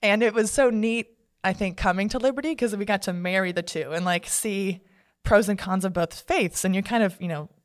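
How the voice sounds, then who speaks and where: Very fast speech in an American accent on a very clean recording with a silent background. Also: woman. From Texas (Dallas-Fort Worth area), earlier Phoenix. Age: 20s. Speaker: stunt performer and athlete. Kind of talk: interview. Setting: studio. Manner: animated.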